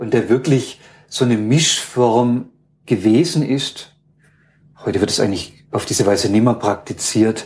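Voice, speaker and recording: A man with a medium pitch speaks at a fairly slow pace, with ordinary pitch variation and long, frequent pauses. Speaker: university ethnologist. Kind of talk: interview. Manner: hesitant, many filler sounds.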